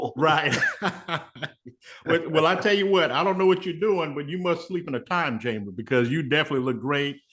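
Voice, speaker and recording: This man talks at a fairly quick pace with lively intonation. His pitch is fairly high. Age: 60s. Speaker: online talk show host. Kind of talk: interview. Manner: halting.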